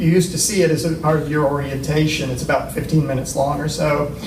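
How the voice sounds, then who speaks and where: A man with a fairly high pitch and fairly even intonation, amid noticeable background noise and audible room echo. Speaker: university faculty presenter. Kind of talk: symposium presentation.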